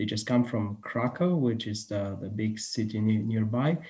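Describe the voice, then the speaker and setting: A man with a Polish accent, a dark, mellow tone and a moderate pace, over a quiet background. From Poland. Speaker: museum educator. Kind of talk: lecture. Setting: video call. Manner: halting. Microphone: video call.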